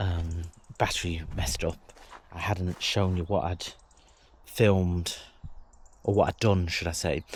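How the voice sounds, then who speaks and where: A man's very deep, low voice with an English accent, fairly even intonation, and a moderate pace. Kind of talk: casual vlog talk to camera.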